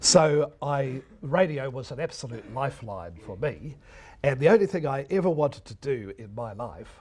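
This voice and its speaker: With a New Zealand accent, a man at a medium pitch talks at a moderate pace with vocal fry, very wide pitch swings and big shifts in loudness, on a very clean recording with a silent background. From New Zealand, Wellington region. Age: 60s. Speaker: retired radio broadcaster. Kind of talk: lecture.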